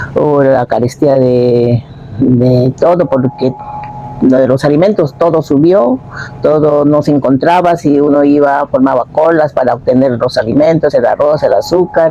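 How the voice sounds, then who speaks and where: A woman speaks fairly slowly in a very deep, low voice with very even loudness. There is noticeable background noise. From northern Peru, Piura. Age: 70s. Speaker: interviewee, homemaker. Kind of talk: oral history testimony. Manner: halting, with fillers.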